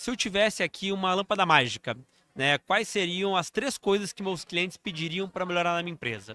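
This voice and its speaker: A man with a southern Brazilian accent raises and projects a bright, sharp, high voice at a fairly quick pace with ordinary pitch variation. The recording is very clean, dry and close, with a silent background and no echo. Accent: gaúcho Brazilian Portuguese. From southern Brazil, Rio Grande do Sul. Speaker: financial executive. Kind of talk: interview conversation. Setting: live event.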